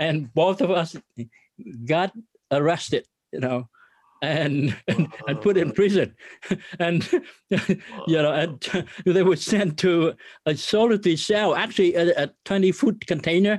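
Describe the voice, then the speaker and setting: The speaker talks at a fairly slow pace with a Vietnamese accent, ordinary pitch variation, and long, frequent pauses. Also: man, high pitch for a man. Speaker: business owner and ministry leader. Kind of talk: interview testimony.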